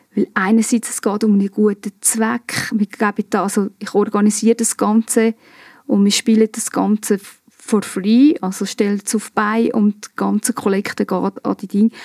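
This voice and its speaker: A woman with an ordinary speaking voice talks at a moderate pace. Her intonation is fairly even, and the sound is dry and close with no echo. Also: fairly high pitch for a woman. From Switzerland, Obwalden (Giswil). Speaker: improv actress. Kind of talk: casual chat.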